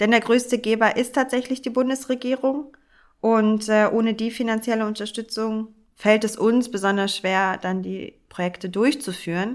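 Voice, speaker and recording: A woman talks at a fairly high pitch in a normal speaking voice, at a moderate pace. Her intonation is fairly even, and the recording is very clean with a silent background. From Hamburg, Germany. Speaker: architect and charity director. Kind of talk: conversational podcast discussion.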